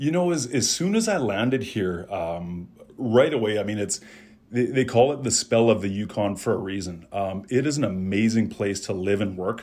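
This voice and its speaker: A man with a Western Canadian accent, fairly low in pitch, with ordinary pitch variation and a moderate pace. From Calgary, Alberta, Canada. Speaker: insurance advisor. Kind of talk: interview. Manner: halting, repeats words.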